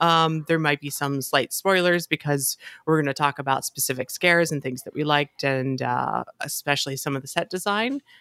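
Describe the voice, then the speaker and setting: A woman speaks with a very deep, low pitch and an animated tone. Her voice has a bright, sharp edge. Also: moderate pace. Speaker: podcast host. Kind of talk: casual chat. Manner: animated, laughs often.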